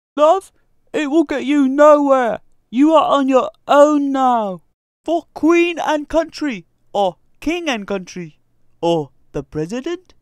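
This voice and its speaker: High-pitched put-on character voice at a fairly slow pace, with long, frequent pauses in a very clean recording with a silent background. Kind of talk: comedy skit. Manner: barking, commanding.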